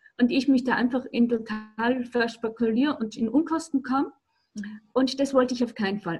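A woman's high voice moves through ordinary pitch variation. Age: 60s. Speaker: alternative practitioner and coach. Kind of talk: casual interview. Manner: halting.

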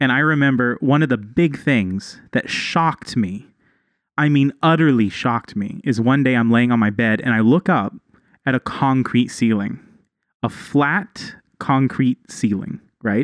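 A man with an American accent and a plain, everyday voice, medium in pitch with ordinary pitch variation, at a fairly slow pace and very even loudness, in a dry, close sound with no echo over a quiet background. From Texas. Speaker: podcast co-host. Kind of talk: casual chat.

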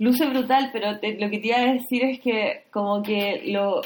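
Her pitch is high, and the woman's intonation stays fairly even. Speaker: podcast host. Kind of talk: casual chat about films.

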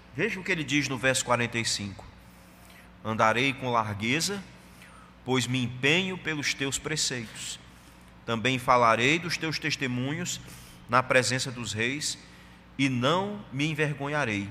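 At a very slow pace with long, frequent pauses, a man speaks at a medium pitch with ordinary pitch variation amid audible room echo. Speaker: pastor. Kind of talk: sermon.

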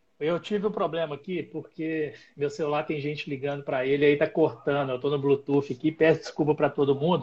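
Fairly high-pitched for a man, his voice is somewhat breathy. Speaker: live stream host, mountain guide. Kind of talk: live stream interview. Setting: live stream.

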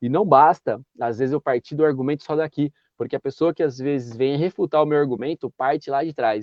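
A man's fairly high voice, very fast, with fairly even intonation. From interior of São Paulo state, Brazil. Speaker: municipal guard and YouTuber. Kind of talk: interview conversation. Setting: video call.

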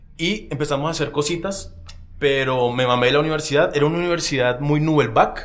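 Words come at a very fast pace with ordinary pitch variation, and room echo is audible. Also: man, fairly high pitch for a man. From Colombia, Barranquilla. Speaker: film director and actor. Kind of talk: casual chat.

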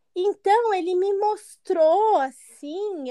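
This woman's voice has a dark, mellow tone. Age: 20s. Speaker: abuse survivor sharing her story. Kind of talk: testimony.

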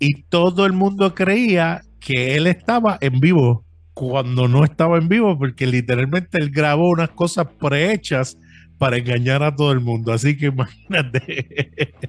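A man speaks at a fairly slow pace in a fairly high pitch. His loudness stays very even, with music playing behind him. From Brooklyn, New York (born in Puerto Rico). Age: 40s. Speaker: podcaster. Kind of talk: casual chat. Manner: halting, frequent fillers.

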